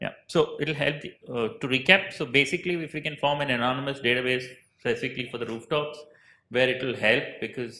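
A man talks at a fairly quick pace with ordinary pitch variation and a bright, sharp tone, and the room echo is audible. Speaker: panel moderator. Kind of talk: panel discussion remarks. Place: hall. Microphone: handheld.

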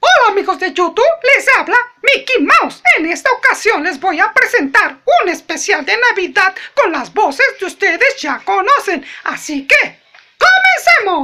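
A put-on character voice at a moderate pace, extremely high in pitch. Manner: cheerful.

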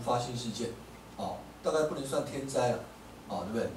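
A man's voice with light background noise and audible room echo. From Taiwan. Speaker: law professor; speaker. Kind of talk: audience Q&A answer; public lecture. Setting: café talk with live audience. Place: cafe.

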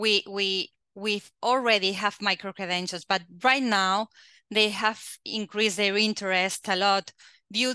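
A woman's bright, sharp tone at a fairly slow pace, with fairly even intonation, a quiet background and a dry sound with no echo. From Catalonia, Spain. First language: Spanish or Catalan. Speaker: quality assurance agency head; webinar presenter. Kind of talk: presentation. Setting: video call. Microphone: headset.

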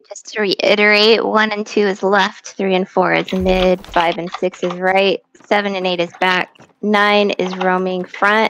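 A woman speaks at a fairly slow pace with medium pitch. Her intonation stays flat and monotone. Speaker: gaming streamer leading a raid group. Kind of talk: casual voice chat while gaming. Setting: online voice chat. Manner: relaxed, joking.

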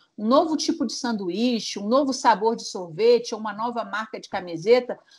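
Her voice high in pitch, a woman speaks at a moderate pace with lively intonation, recorded very cleanly against a silent background. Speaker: press officer. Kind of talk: tips segment, conversational.

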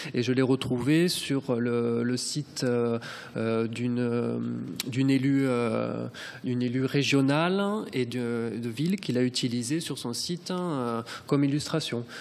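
A man talks very slowly, his pitch rising and falling in an ordinary way. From Corbières, southern France. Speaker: photojournalist. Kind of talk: round table presentation. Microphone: podium.

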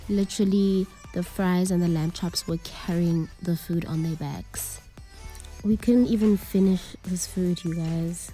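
Faint music plays in the background behind a woman. She speaks at a fairly slow pace with fairly even intonation. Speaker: vlogger reviewing a restaurant. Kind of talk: casual review vlog chat. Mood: relaxed, mildly critical. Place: bar. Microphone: phone near.

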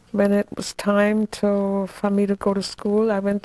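Her tone dark and mellow, a woman speaks at a very slow pace. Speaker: interviewee. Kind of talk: interview answer. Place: home room. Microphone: lapel.

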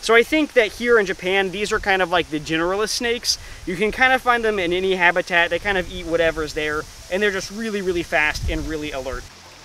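Over light background noise, a man speaks at a very fast pace in a raised, projected voice with ordinary pitch variation and a dry sound with no echo. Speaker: presenter. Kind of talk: casual nature commentary. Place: forest.

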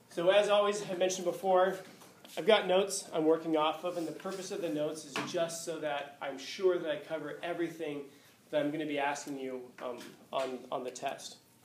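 There is audible room echo and light background noise. A man speaks at a fairly quick pace with ordinary pitch variation. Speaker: teacher. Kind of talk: lecture. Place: classroom.

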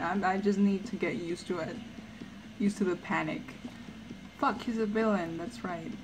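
A woman speaks at a moderate pace with ordinary pitch variation over noticeable background noise. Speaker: artist streamer. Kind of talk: casual chat while drawing. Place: home room. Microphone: headset.

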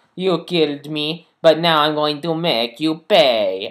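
A man speaks in a put-on character voice at a fairly high pitch. His pace is fairly slow. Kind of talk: theatrical villain voice. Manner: menacing.

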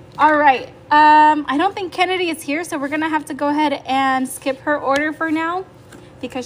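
A woman speaks at a high pitch with light background noise. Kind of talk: casual livestream chat. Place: home room. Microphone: phone near.

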